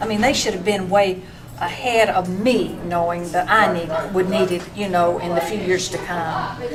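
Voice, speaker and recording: Against noticeable background noise and audible room echo, a woman with an Appalachian accent speaks at a medium pitch with fairly even intonation. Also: moderate pace. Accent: Appalachian Southern US. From western North Carolina. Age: 60s. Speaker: small business owner. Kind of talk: public testimony. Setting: public meeting. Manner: halting, with false starts.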